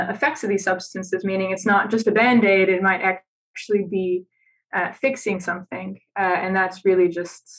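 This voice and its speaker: A woman speaks with an American accent at a medium pitch. Her pace is moderate. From United States. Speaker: neuroscience researcher. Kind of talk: interview conversation. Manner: halting with fillers.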